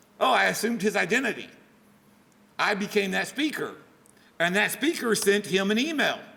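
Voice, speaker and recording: A man's high, raised and projected voice with a Texan accent, lively intonation and an animated tone, long and frequent pauses, audible room echo and noticeable background noise. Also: fairly quick pace, very even loudness. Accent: Texan American. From Texas. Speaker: security professional speaking to students. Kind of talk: guest lecture. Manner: casual, animated storytelling.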